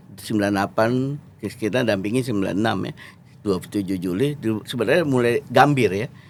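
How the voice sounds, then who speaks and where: Pitched at a medium level, a man speaks at a moderate pace with ordinary pitch variation. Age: 50s. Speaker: lawyer and former member of parliament. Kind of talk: interview. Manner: halting.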